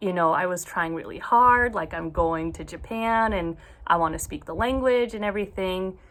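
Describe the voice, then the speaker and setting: At a fairly slow pace, a woman with an American accent uses an unremarkable speaking voice, medium in pitch with ordinary pitch variation. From US, Oregon. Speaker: book vlogger. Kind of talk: personal confession vlog.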